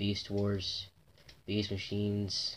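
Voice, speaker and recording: The voice is quiet and fairly slow, set against noticeable background noise. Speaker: toy unboxing vlogger. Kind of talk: casual unboxing vlog. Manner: repetitive, halting with fillers. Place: home room.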